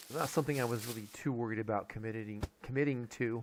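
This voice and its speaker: A man's medium-pitched voice at a very fast pace with fairly even intonation. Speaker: gaming YouTuber. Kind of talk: casual channel update. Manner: halting, many fillers.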